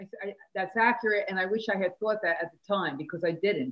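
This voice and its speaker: A woman talks in a normal speaking voice at medium pitch. Her pace is fairly quick, with ordinary pitch variation. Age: 60s. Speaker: business owner. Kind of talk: interview.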